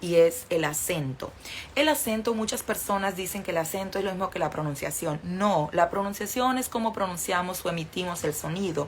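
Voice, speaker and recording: There is noticeable background noise as a woman speaks. She has a northern Mexican accent and a medium pitch. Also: lively intonation, moderate pace. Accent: northern Mexican, sing-song. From northern Mexico. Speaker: Spanish teacher. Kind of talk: livestream lesson.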